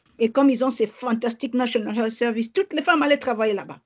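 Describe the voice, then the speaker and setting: Pitched fairly high, a woman talks at a fairly quick pace, her pitch varying in an ordinary way. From DR Congo (Kinshasa and Bas-Congo). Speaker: lawyer and activist. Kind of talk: interview.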